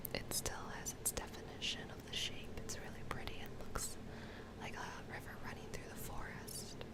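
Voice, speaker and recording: A whisper, delivered at a moderate pace, comes through noticeable background noise. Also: woman. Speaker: ASMR / beauty YouTuber. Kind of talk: ASMR whispered makeup tutorial. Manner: whispered, soft-spoken, relaxing.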